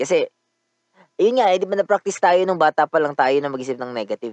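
The speaker talks at a very fast pace with very wide pitch swings, in a dry, close sound with no echo. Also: man. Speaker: podcast host. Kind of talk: casual monologue.

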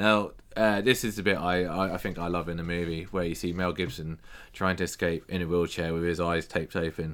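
Over a very clean recording with a silent background, a man talks at a fairly quick pace in a very deep, low pitch with flat, monotone intonation. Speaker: podcast host. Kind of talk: casual chat. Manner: joking.

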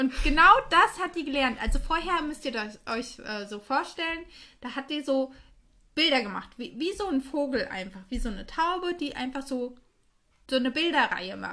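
In a raised, projected voice, a woman with a high pitch and a bright, sharp tone speaks at a moderate pace with lively intonation, big swings in loudness and long, frequent pauses. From Hesse, Germany (Reichelsheim). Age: 30s. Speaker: podcast co-host. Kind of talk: casual chat.

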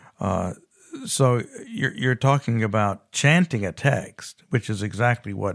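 A man with a normal speaking voice talks at a fairly low pitch with ordinary pitch variation. The recording is very clean, with a silent background. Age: 60s. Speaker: scholar and theologian. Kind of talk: interview.

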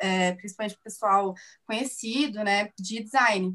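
Fairly high in pitch, a woman talks in an ordinary speaking voice. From Minas Gerais, Brazil (Divinópolis). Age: 20s. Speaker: illustrator and architecture student. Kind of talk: casual interview.

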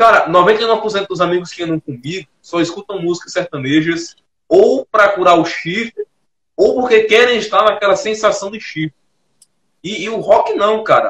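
A man speaks at a high pitch and a moderate pace, with ordinary pitch variation. The sound is dry and close, with no echo. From Brazil, Northeast. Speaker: podcast host. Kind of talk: casual chat.

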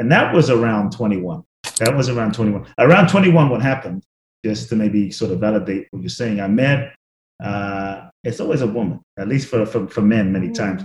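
A somewhat breathy man with fairly low pitch, ordinary pitch variation, and a moderate pace. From London, England. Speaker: author and spiritual teacher. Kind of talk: interview.

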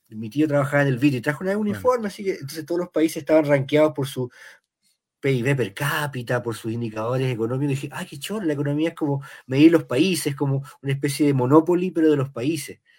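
At a very fast pace, a man with a Chilean accent speaks with a fairly high pitch and ordinary pitch variation. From Chile, Valparaíso. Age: 50s. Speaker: novelist. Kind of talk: interview.

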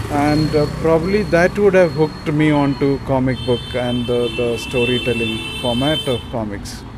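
With hardly any pauses, a man talks at a moderate pace and fairly high pitch with ordinary pitch variation, over noticeable background noise. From India. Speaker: comics collector and researcher. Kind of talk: interview monologue. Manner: hesitant, with fillers.

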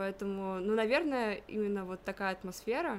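A woman talks in a normal speaking voice. Her pitch is medium, with ordinary variation. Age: 20s. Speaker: university student of Persian. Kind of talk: interview.

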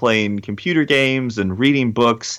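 A man with an unremarkable speaking voice talks at medium pitch with ordinary pitch variation, recorded very cleanly against a silent background. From rural North Carolina. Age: young. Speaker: motivational speaker and rapper. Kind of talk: interview.

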